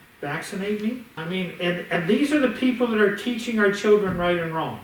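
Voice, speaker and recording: A man's high-pitched voice at a moderate pace, animated in tone with lively intonation, amid noticeable background noise and audible room echo. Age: 60s. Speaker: bank executive. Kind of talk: casual chat.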